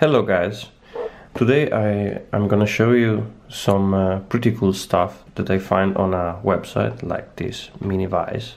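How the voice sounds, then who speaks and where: A man with a strong Italian accent, speaking at a fairly slow pace. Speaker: lockpicking hobbyist. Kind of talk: casual product review to camera. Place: kitchen. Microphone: phone near.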